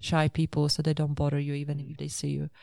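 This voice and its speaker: With a dark, mellow tone, a woman's voice sits very deep and low in pitch. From Poland. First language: Polish. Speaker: motorcycle adventure traveller. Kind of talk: interview.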